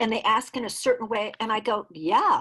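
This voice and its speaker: A woman speaks at a fairly slow pace in a fairly high voice with lively intonation over a quiet background. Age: 60s. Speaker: dancer and choreographer. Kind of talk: interview conversation. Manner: animated.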